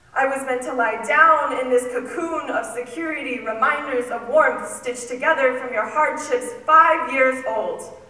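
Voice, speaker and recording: A woman with an American accent projects a raised, high voice at a moderate pace with ordinary pitch variation, against noticeable background noise. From Southern United States. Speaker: spoken word poet. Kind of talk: spoken word poetry performance.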